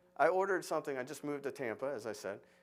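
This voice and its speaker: Talking at a very fast pace with lively intonation, a man with an American accent is heard in a very clean recording with a silent background. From Florida, US. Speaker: architect, conference speaker. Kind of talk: conference talk. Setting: stage with audience. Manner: loud; animated, halting with repetitions.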